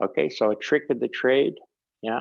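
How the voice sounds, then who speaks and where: Against a quiet background, a man speaks. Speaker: meditation teacher. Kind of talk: online class teaching. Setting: video call. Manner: halting.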